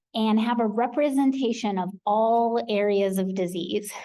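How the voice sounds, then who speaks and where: A woman speaks at a medium pitch in an American accent, her tone dark and mellow. Her intonation stays fairly even, with audible echo in the room. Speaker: clinical research professional. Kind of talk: conference presentation.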